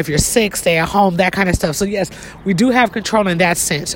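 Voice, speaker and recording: A woman with a medium-pitched voice talks against noticeable background noise. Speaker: podcast host. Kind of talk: motivational monologue. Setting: outdoors, walking up a hill. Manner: casual.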